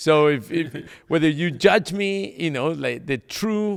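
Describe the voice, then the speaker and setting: This is a man speaking with a Mexican accent. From Mexico. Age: 50s. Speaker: pastor and evangelist. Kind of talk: casual chat.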